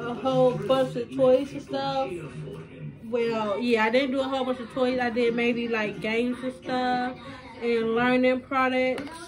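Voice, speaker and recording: Over noticeable background noise, a woman with a high pitch speaks at a fairly slow pace in a flat, monotone intonation. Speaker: parent vlogger. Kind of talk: casual vlog chat. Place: home room. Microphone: phone near.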